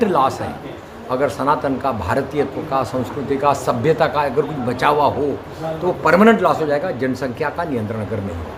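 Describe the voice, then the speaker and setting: There is noticeable background noise and audible room echo. A man with a fairly high pitch talks at a moderate pace, his pitch swinging very widely. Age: 70s. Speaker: retired civil servant and activist. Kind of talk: interview. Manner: earnest, exhortative.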